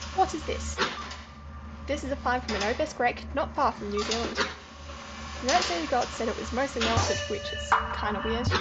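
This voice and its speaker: A woman speaks at a moderate pace, with audible room echo and music playing in the background. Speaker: gaming youtuber. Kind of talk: reading game text aloud in a playthrough. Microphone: voice quieter than game music and sound effects.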